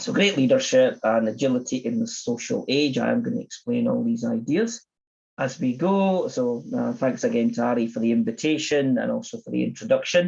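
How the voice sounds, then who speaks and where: A man with a Scottish accent at a fairly quick pace. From Scotland, Edinburgh. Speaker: agile coach and conference speaker. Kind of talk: conference talk.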